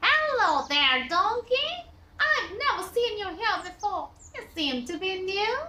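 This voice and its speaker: A woman puts on a character voice at an extremely high pitch with very wide pitch swings, speaking fairly slowly. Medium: read story. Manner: sly, wheedling.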